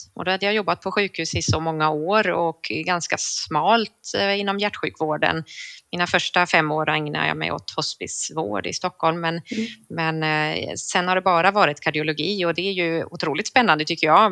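In a dry, close sound with no echo, a woman with a fairly low, bright and sharp voice speaks at a moderate pace with ordinary pitch variation. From northern Sweden (Sundsvall). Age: 40s. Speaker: cardiology nurse. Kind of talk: casual interview.

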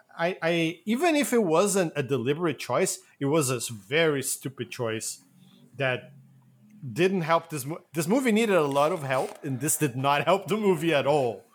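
A plain, everyday voice from a man with a fairly high pitch, lively intonation and a moderate pace, on a very clean recording with a silent background. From Acadia, Canada. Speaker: movie podcast co-host. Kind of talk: casual chat.

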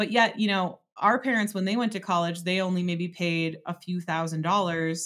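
In a plain, everyday voice, a woman with an American accent speaks at a fairly low pitch and a moderate pace, in a very clean recording with a silent background. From Wisconsin, Door County. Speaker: business coach. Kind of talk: interview.

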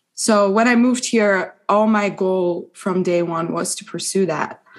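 With a Persian accent, a woman talks at a moderate pace and medium pitch, keeping her intonation fairly even. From Iran. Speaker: law student. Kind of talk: casual interview.

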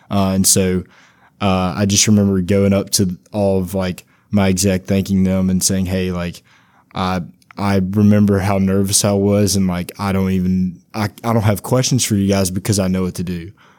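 The voice is dark and mellow, with monotone, flat intonation. It moves at a moderate pace. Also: man, very deep, low pitch for a man. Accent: Louisiana. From Louisiana, Monroe area. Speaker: student orientation leader. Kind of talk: casual chat.

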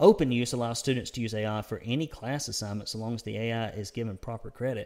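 Speaking with a Southern US accent, a man holds a medium pitch. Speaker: conservative news publisher and podcast host. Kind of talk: news commentary monologue. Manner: rambling; casual, frequent filler words.

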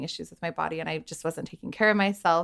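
Recorded very cleanly over a silent background, a woman talks fairly quickly in an ordinary speaking voice with a fairly low pitch. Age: 30s. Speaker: lifestyle blogger and body positivity coach. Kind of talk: casual interview. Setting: in person, same room.

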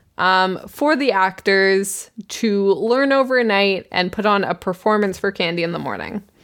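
A woman with a Canadian accent and a plain, everyday voice speaks at medium pitch and a fairly slow pace, with ordinary pitch variation and hardly any pauses. The recording is very clean, with a silent background. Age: 20s. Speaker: podcast co-host. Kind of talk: casual chat.

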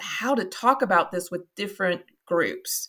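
A woman speaks at a moderate pace with a Kentucky accent. Her tone is bright and sharp. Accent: Kentucky Southern US, noticeable. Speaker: marketing agency founder. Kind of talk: interview conversation.

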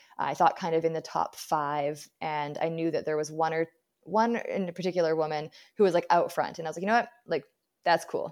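Against a quiet background, a woman with a Canadian accent talks fairly quickly in a fairly low voice with fairly even intonation. She has an unremarkable speaking voice. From British Columbia, Canada. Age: 30s. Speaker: ultra runner and running coach. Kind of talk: interview.

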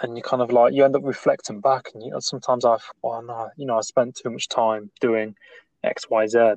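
Big swings in loudness mark a man's delivery with an East Midlands accent, heard in a dry, close sound with no echo. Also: medium pitch for a man, fairly even intonation. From Nottingham, English Midlands. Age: 20s. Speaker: podcast host. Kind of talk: casual chat. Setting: remote call. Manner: halting.

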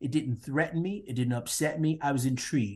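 Somewhat breathy, a man talks in a rather high register. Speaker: social psychologist and diversity consultant. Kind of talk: interview.

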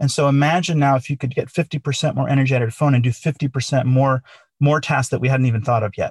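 Very fast and somewhat breathy, a man speaks at a fairly high pitch with fairly even intonation, the sound dry and close with no echo. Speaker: company founder and CTO. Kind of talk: interview, conversational.

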